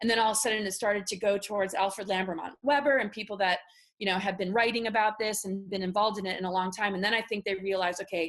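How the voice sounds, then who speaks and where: Speaking very fast with an American accent, a woman uses a medium pitch and fairly even intonation. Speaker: spiritual speaker on secret space programs. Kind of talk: interview testimony. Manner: halting.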